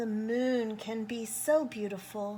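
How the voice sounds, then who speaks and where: A woman's put-on character voice at a fairly slow pace, with clear background noise. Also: fairly high pitch for a woman. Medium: read story.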